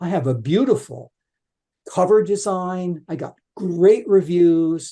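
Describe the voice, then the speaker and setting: A man's high-pitched voice with a dark, mellow tone, on a very clean recording with a silent background. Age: 70s. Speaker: author. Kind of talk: interview. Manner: animated.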